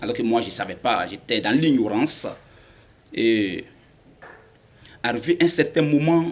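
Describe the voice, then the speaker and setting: A man's fairly high voice at a fairly slow pace, with long, frequent pauses. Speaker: convert giving testimony. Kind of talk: testimony. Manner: halting.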